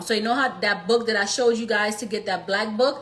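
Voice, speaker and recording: Noticeable background noise sits behind a woman speaking in a Trinidadian accent with ordinary pitch variation. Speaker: business credit coach. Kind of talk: live stream tutorial. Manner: casual, animated.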